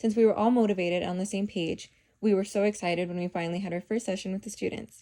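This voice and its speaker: A woman with an American accent, medium pitch and a dark, mellow tone, at a very fast pace with monotone, flat intonation. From Tucson, Arizona, US Southwest. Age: 20s. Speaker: college student. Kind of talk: scripted narration.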